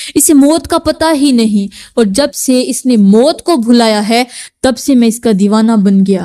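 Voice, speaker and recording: A woman's high-pitched voice, gentle, dark and mellow in tone, with very even loudness. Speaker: religious preacher giving a sermon to women. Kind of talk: religious sermon (bayan). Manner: gentle, earnest, admonishing.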